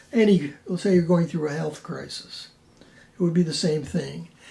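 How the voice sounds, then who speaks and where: A man with an American accent talks at a moderate pace, and room echo is audible. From Buffalo, New York. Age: 80s+. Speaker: painter. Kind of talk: interview. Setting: artist's studio. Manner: halting, with frequent fillers.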